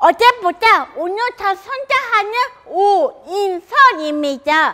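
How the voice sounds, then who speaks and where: The voice is raised and projected, with a bright, sharp tone. Its intonation is lively, and it moves at a very slow pace. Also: woman. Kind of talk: prepared public talk. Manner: halting, some repeated words.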